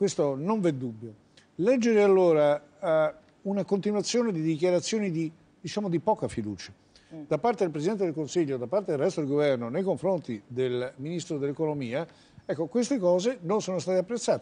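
A man speaks with a high pitch and a dark, mellow tone. His intonation is lively. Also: fairly quick pace. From Italy. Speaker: economist; guest. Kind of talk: televised political debate. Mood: calm, measured analysis. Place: studio. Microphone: lapel.

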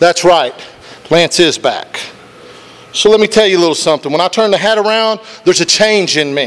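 Talking at a fairly quick pace, a man uses a high pitch with ordinary pitch variation. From Wyoming County, West Virginia; West Virginia. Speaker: professional wrestler. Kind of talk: wrestling promo. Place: studio. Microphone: handheld.

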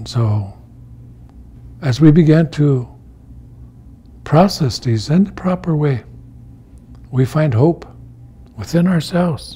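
This man talks at a very slow pace with long, frequent pauses. His voice sits fairly high and his intonation is lively. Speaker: elder storyteller and teacher. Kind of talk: storytelling talk. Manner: slow, reflective. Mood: calm, solemn, reflective. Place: home room.

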